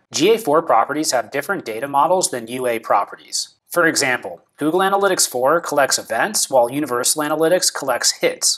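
A man at a fairly quick pace with hardly any pauses, over a quiet background. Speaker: presenter. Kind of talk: tutorial. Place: office. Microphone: lapel.

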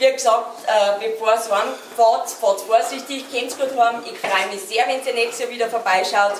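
With audible room echo and light background noise, a woman speaks at a moderate pace using ordinary pitch variation. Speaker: host giving closing thanks. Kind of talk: closing speech to audience. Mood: warm, grateful, slightly flustered. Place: stage. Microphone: camera far.

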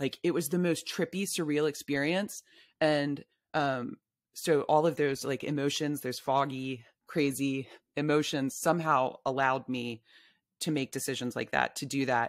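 Recorded dry with no echo against a quiet background, a woman with a very deep, low pitch speaks in an animated tone at a moderate pace. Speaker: novelist and memoirist; guest. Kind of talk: casual interview conversation. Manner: animated, laughs often. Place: home room. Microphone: studio mic.

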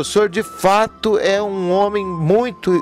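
Over clear music in the background, a man with a high pitch and ordinary pitch variation speaks in a dry sound with no echo. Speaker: priest. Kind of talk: interview questions. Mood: warm, admiring. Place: workshop. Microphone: handheld.

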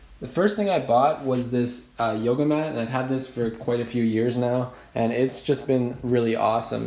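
A man talks with fairly even intonation and hardly any pauses. Audible room echo surrounds his voice. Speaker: home fitness vlogger. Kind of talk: casual vlog chat. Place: home room. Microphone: phone near.

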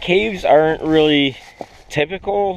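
A man at a fairly slow pace, the sound dry with no echo. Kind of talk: tutorial. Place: open country. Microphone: phone near.

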